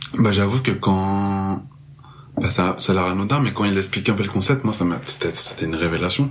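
A man with a fairly low pitch and ordinary pitch variation talks at a moderate pace, with noticeable noise in the background. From France, Marseille. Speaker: music festival worker. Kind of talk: casual interview chat.

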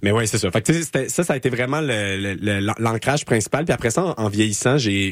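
Against a silent background on a very clean recording, a man speaks at a moderate pace with a fairly low pitch and ordinary pitch variation. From Quebec, Laval. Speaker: community radio host, master's graduate. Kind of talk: casual interview. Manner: halting, many fillers.

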